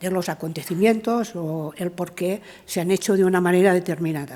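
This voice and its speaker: With a Catalan accent, a woman talks at a fairly slow pace, her pitch medium and its variation ordinary. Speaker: art historian, professor. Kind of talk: conference talk. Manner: halting, many fillers.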